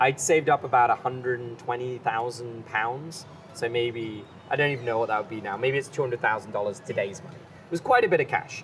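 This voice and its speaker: Over noticeable background noise, a man with a British accent speaks at a fairly quick pace and medium pitch, with ordinary pitch variation and big swings in loudness. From England, London. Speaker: chef and farm business partner. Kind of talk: podcast interview. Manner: animated.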